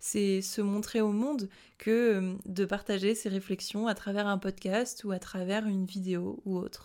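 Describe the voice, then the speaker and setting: With a dark, mellow tone, the speaker moves at a fairly slow pace on a very clean recording with a silent background. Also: woman. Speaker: podcast host. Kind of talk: casual solo monologue. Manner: spontaneous, unscripted.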